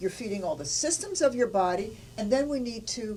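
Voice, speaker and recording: A woman speaks with lively intonation at a fairly high pitch, with noticeable background noise behind her. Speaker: nutrition presenter. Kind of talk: infomercial product pitch.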